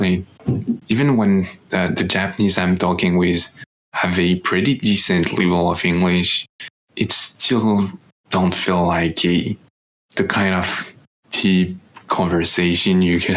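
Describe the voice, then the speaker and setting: Speaking in a French accent at a fairly slow pace, the voice keeps very even loudness and fairly even intonation. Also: man. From France. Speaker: podcast co-host, exchange student. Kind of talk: casual chat. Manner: halting.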